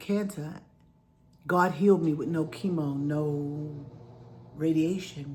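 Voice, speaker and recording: A somewhat breathy woman's voice in a New York accent, fairly low in pitch, with ordinary pitch variation and audible room echo. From New York City, Queensbridge. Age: 60s. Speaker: vlogger sharing health story. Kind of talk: personal testimony. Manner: conversational, animated.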